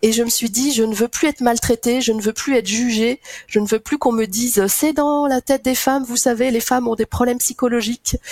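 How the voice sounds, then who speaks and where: Fairly even intonation at a fairly quick pace, with a dry, close sound and no echo. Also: woman. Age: 50s. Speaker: association director, mother sharing infertility story. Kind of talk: testimony.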